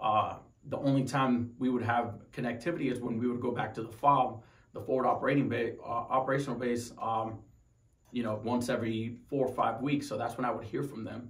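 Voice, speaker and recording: In a room with audible echo, a man talks at a fairly quick pace and medium pitch, somewhat breathy and with monotone, flat intonation. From Tucson, Arizona; Arizona. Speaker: wounded Marine veteran. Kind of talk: personal story interview. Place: home room.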